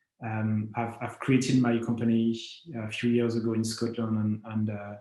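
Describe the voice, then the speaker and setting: In a French accent, a man speaks at medium pitch and a fairly slow pace with monotone, flat intonation. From France. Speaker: company founder, space entrepreneur. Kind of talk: conference talk. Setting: remote video presentation. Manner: halting, many fillers.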